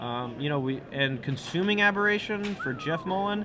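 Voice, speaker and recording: Against noticeable background noise and audible room echo, a man with an American accent speaks at a moderate pace in a high pitch with very wide pitch swings. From US South, Alabama. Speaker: esports commentator. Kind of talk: live commentary. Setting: tournament venue.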